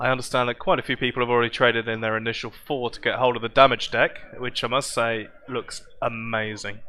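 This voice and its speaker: Speaking very fast with hardly any pauses, a man with a southern English accent keeps a medium pitch and a flat, monotone intonation. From southern England, Southampton. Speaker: game stream commentator. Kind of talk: live commentary. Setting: live event arena.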